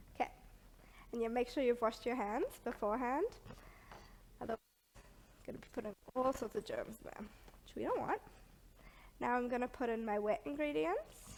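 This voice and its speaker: A woman with a high-pitched voice speaks at a moderate pace, using lively intonation, long, frequent pauses and big swings in loudness. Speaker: baking chef; presenter. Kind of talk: cooking tutorial. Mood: friendly, relaxed. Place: kitchen.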